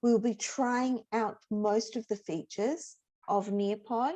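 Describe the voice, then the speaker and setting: With an Australian accent, a woman speaks very slowly in a dark, mellow tone at a fairly high pitch with ordinary pitch variation, the sound dry and close with no echo against a quiet background. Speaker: teacher educator. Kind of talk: workshop presentation.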